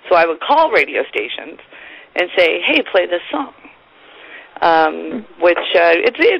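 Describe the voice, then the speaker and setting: Over noticeable background noise, a woman speaks at a very slow pace. Her pauses are long and frequent. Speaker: morning radio co-host. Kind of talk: casual interview chat.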